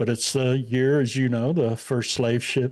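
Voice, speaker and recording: Over a very clean recording with a silent background, a man talks with a Midwestern US accent at a medium pitch. His tone is dark and mellow, his intonation fairly even and his pace fairly slow. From Indiana. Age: 60s. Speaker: podcaster and activist guest. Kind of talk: casual interview chat. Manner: halting, many fillers.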